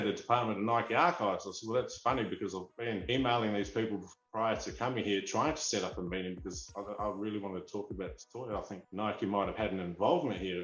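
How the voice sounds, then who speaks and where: Barely pausing, a man with a fairly low pitch and ordinary pitch variation speaks at a very fast pace. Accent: Australian. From Australia (Perth, Western Australia). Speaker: toy figurine collector. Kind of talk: interview storytelling. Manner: animated.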